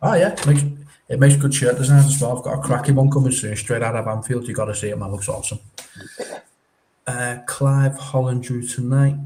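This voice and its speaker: With audible room echo, a man speaks at a fairly quick pace and medium pitch in a dark, mellow, somewhat breathy tone with fairly even intonation. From northern England, Widnes near Liverpool. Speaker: football live streamer. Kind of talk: casual chat, reading live chat comments.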